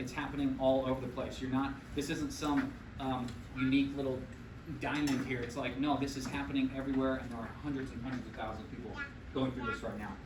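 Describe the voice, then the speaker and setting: Very fast speech amid noticeable background noise and audible room echo. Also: man, medium pitch for a man. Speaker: chiropractor. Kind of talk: health workshop talk. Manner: animated.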